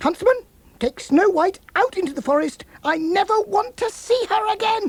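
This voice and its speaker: At a moderate pace, a man performs a put-on character voice at an extremely high pitch. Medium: read story. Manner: angry, shouting.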